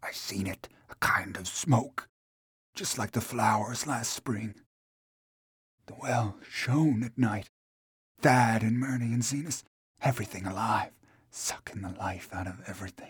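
This man has a medium pitch and a somewhat breathy voice. He talks fairly slowly, with long, frequent pauses. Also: ordinary pitch variation, big swings in loudness. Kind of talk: dramatized character voice within narration. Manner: halting, broken, dazed, rural dialect.

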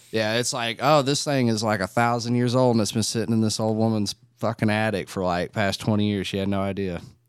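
With hardly any pauses, a man in a normal speaking voice talks at a fairly low pitch with fairly even intonation. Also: fairly quick pace. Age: 20s. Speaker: podcast guest. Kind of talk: casual chat.

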